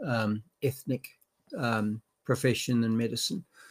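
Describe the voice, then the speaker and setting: The delivery is moderately paced. It carries an Australian accent. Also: man, very clean recording, silent background. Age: 60s. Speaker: retired doctor and commentator. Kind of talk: casual chat. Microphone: laptop microphone, not great.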